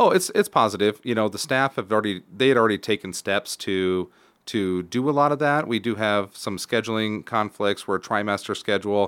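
In a normal speaking voice, a man talks at a fairly quick pace with hardly any pauses and a fairly low pitch, on a very clean, dry, close recording with a silent background and no echo. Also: ordinary pitch variation. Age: 30s. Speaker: school superintendent. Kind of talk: casual interview. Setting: studio.

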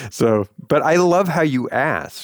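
A man with a West Coast accent. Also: dry, close sound with no echo. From Los Angeles. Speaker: lawyer and podcast co-host. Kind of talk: interview.

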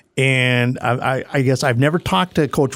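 A man speaks at a moderate pace and medium pitch. The recording is very clean, with a silent background. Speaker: softball coach and official. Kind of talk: casual chat. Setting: studio. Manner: enthusiastic.

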